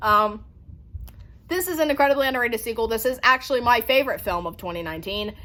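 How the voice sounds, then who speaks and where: A woman talks very fast in a high voice, animated and lively in intonation, with a bright, sharp tone. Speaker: horror film YouTuber. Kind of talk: casual collection showcase video.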